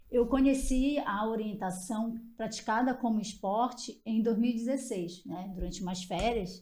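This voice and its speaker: A woman speaks at a fairly slow pace with hardly any pauses, her tone dark, mellow and somewhat breathy. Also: fairly high pitch for a woman, ordinary pitch variation. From Pará, Brazil. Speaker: orienteering team co-founder. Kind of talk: podcast personal story.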